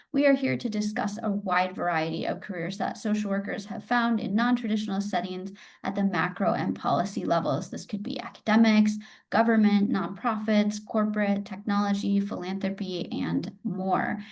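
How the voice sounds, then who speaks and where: This voice moves at a moderate pace and sounds somewhat breathy. Its pitch varies in an ordinary way. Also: woman, medium pitch for a woman. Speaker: podcast host. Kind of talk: interview host questions.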